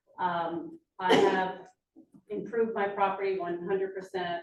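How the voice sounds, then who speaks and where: Talking fairly slowly, a woman with a medium-pitched voice uses ordinary pitch variation, and room echo can be heard. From New Jersey, Lambertville. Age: 60s. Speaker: public commenter and realtor. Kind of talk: public comment at council meeting. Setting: council meeting chamber.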